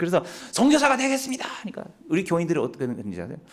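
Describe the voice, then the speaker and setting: A man races along very fast, his pitch swinging very widely, with noticeable noise in the background. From Japan. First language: Japanese (speaking Korean). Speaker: missionary. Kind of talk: mission report talk in church. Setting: church. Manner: halting.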